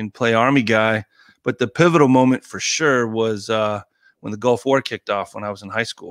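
In a plain, everyday voice with an American accent, a man speaks at a fairly quick pace and medium pitch with fairly even intonation, on a very clean recording with a silent background. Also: dry, close sound with no echo. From Colorado. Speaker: former Navy SEAL. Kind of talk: casual chat.

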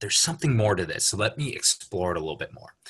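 Someone speaks with a Californian accent against a quiet background. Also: man. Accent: General American (Californian). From Los Angeles area, US. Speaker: coaching client. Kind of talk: casual interview.

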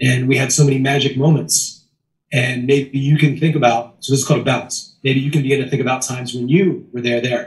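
A man speaks with an American accent at a medium pitch. His voice is somewhat breathy. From US, Maryland. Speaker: sales trainer. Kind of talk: casual chat. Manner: animated.

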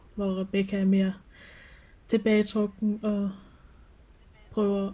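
A woman's medium-pitched voice, somewhat breathy, dark and mellow, with monotone, flat intonation. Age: 20s. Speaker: clothing craftsperson and furry hobbyist. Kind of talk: personal interview, reflective testimony. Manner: halting, many hesitations.

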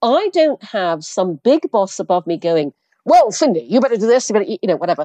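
In a British accent, a woman speaks with very wide pitch swings and a dry, close sound with no echo. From Brunei, half English half Chinese parents. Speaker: entrepreneur, former advertising executive. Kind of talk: interview.

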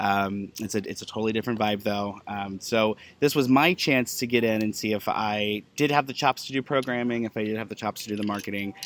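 In a very clean recording with a silent background, a man with a normal speaking voice and fairly low pitch moves at a fairly quick pace with hardly any pauses and fairly even intonation. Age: 30s. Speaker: author and pagan event coordinator. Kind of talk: casual interview. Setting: at a live event.

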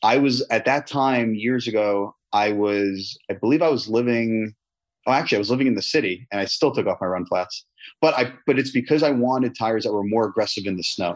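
A man with a plain, everyday voice, medium pitch, ordinary pitch variation and a fairly quick pace, against a quiet background. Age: 30s. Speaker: tire company founder and CEO. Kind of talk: interview.

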